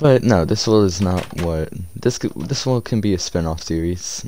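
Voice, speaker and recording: Over light background noise, a man with a very deep, low pitch talks at a moderate pace in a dry sound with no echo. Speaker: gamer commentator. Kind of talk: casual gameplay commentary. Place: home room.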